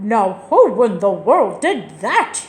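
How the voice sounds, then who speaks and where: A put-on character voice delivers its lines with a growl. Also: woman, medium pitch for a woman. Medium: read story.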